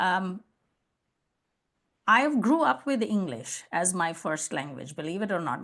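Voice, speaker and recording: A woman with an Indian accent speaks at a moderate pace and fairly low pitch over a quiet background. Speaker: customer success leader and consultant. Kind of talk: interview podcast conversation.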